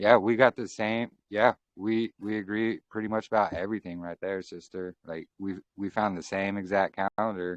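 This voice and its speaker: With a plain, everyday voice and an American accent, a man speaks at a fairly low pitch with fairly even intonation, big swings in loudness, and hardly any pauses, in a dry, close sound with no echo. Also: moderate pace. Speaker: faith channel host. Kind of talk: casual chat.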